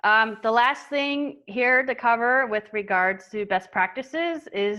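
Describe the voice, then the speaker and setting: Against a quiet background, a woman speaks at a fairly slow pace with a bright, sharp tone. Her fairly high pitch shows ordinary variation. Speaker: marketing agency owner and webinar presenter. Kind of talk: webinar presentation. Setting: online webinar.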